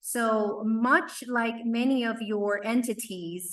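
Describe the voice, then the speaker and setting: Her pitch sits fairly high as this woman speaks. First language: not English (English is third language). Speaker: workforce development leader. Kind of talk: conference presentation.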